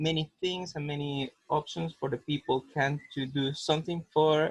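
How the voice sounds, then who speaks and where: Talking at a very slow pace, a man with a Spanish accent is recorded in a dry, close sound with no echo. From Costa Rica. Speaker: cancer survivor foundation worker. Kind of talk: webinar discussion. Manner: halting, hesitant.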